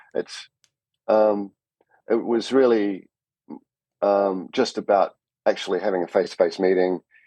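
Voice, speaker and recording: Speaking with a New Zealand accent, a man has a fairly low, dark, mellow voice. He talks at a moderate pace, the sound dry and close with no echo. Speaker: cinematographer. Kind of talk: podcast interview.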